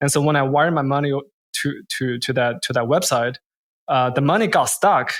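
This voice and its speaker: A man with a Chinese accent speaks fairly quickly and fairly high, with ordinary pitch variation, in a very clean recording with a silent background. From China, then French Canada as a teen. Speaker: crypto investor and entrepreneur. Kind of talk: interview. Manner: repetitive false starts.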